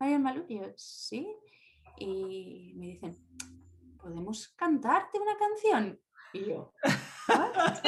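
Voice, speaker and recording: Speaking very slowly, a woman uses a high voice with very wide pitch swings and big swings in loudness. Her pauses are long and frequent. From Spain, Valladolid. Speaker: university language teacher. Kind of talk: casual interview.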